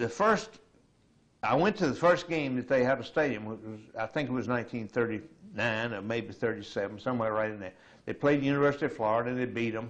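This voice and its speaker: At a very fast pace, a man with an American accent speaks at a medium pitch with ordinary pitch variation. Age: 70s. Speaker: retiree. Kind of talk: oral history interview.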